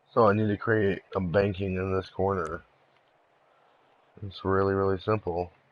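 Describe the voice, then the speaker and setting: A man talks in a fairly low, flat monotone. He leaves long, frequent pauses. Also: moderate pace. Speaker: gaming streamer. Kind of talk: live game-building tutorial. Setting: live stream. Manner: casual; quiet.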